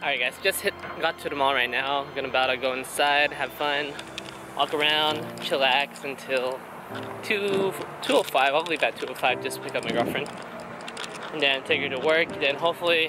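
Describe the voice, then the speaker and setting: Music plays in the background as a man talks at a moderate pace with long, frequent pauses. The sound is dry with no echo. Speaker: vlogger. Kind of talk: casual vlog chat. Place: street. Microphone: phone near.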